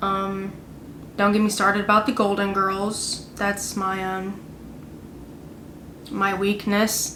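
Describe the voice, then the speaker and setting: In a room with audible echo and noticeable background noise, a woman speaks at a very slow pace with long, frequent pauses, a medium pitch and monotone, flat intonation. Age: 20s. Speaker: vlogger. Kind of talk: casual chat. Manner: halting.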